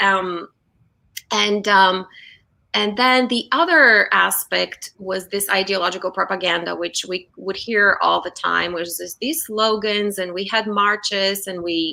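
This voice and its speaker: A woman with a Bulgarian accent speaks at a medium pitch. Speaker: brand strategist. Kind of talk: interview.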